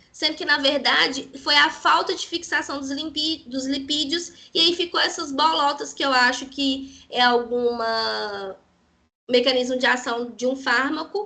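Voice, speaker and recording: Projecting a raised voice, a woman with a high pitch and a bright, sharp tone speaks at a moderate pace with ordinary pitch variation. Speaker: parasitology researcher and lecturer. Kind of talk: lecture.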